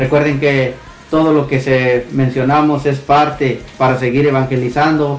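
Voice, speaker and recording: A fairly high-pitched man speaks slowly in a flat monotone at very even loudness, with audible room echo and noticeable background noise. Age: adult. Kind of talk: radio show hosting.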